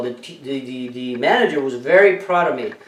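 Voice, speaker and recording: At a moderate pace, a man's voice comes through noticeable background noise. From Mexico. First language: Spanish. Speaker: entrepreneur and motivational vlogger. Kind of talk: motivational talk with personal story. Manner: halting with many fillers.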